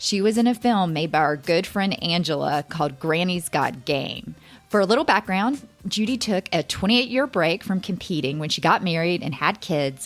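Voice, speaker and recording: A fairly low female voice at a moderate pace, with lively intonation and music in the background. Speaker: podcast host. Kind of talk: podcast interview question.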